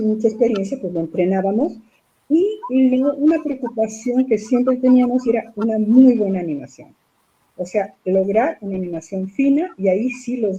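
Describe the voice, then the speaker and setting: A woman's fairly high, somewhat breathy voice carries a dark, mellow tone and lively intonation. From Mexico City. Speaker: puppeteer and theatre director. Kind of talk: interview answer.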